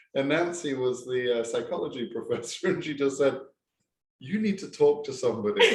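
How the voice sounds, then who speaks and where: Speaking fairly quickly, the man has an English accent. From England. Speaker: professor. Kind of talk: casual chat. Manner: halting.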